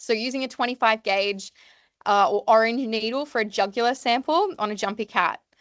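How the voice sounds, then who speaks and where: A woman speaks loudly at a moderate pace, her fairly high voice showing ordinary pitch variation, in a dry, close recording with no echo and a quiet background. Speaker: veterinary nurse. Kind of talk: seminar lecture. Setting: evening seminar with audience. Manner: loud, lots to say.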